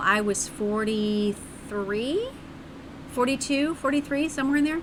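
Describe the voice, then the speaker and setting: An animated woman's voice against noticeable background noise. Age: 40s. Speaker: streamer. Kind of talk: casual chat.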